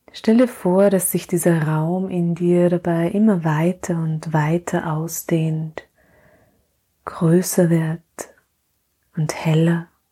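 A woman speaks very slowly in a soothing tone with long, frequent pauses. Her fairly low voice keeps fairly even intonation. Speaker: podcast host and mothers' coach. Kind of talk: guided meditation; welcome and intro, then guided meditation. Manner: slow, soft and soothing, with long pauses; calm, gentle, warm.

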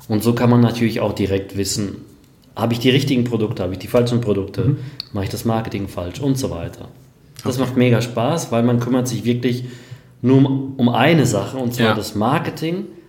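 A man speaks fairly quickly in a somewhat breathy, medium-pitched voice. Pitch varies in an ordinary way, and room echo is audible. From Germany, Sauerland and Hamm (Westphalia). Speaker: online marketer. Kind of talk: interview. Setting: office, livestream.

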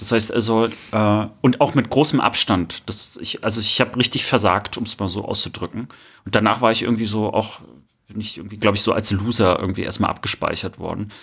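Fairly quick speech from a man with a plain, everyday voice, fairly low in pitch with fairly even intonation. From Rostock, northeastern Germany. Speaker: podcast co-host. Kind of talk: casual chat.

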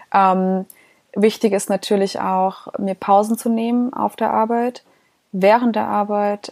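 Flat, monotone intonation marks this woman's dark, mellow voice. She speaks at a fairly slow pace. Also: dry, close sound with no echo. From Heidelberg area, Germany. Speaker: podcast co-host, business owner. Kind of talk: casual chat.

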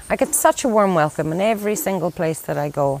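A woman talks with ordinary pitch variation at a moderate pace. Noticeable background noise can be heard. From Ireland. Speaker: conservation worker. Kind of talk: interview.

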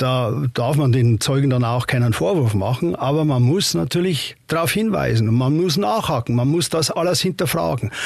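This man speaks at a medium pitch and a moderate pace, somewhat breathy, with very even loudness, lively intonation and hardly any pauses. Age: 60s. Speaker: retired judge. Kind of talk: interview. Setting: studio.

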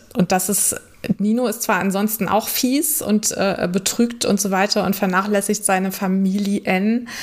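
Fairly even intonation marks an ordinary speaking voice delivered at a fairly slow pace. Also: woman. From northern Germany. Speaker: podcast host and knitwear designer. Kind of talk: casual interview.

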